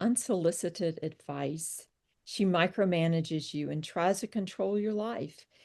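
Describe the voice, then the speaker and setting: A woman with a Southern US accent speaks in a fairly low voice at a fairly slow pace. Her intonation is lively, and the background is quiet. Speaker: psychotherapist and author. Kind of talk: reading aloud; interview.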